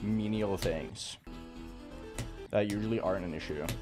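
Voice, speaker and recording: He speaks with a slight Norwegian accent. The man's pitch sits in the medium range. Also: very clean recording, silent background. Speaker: game streamer. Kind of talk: live stream chat while gaming.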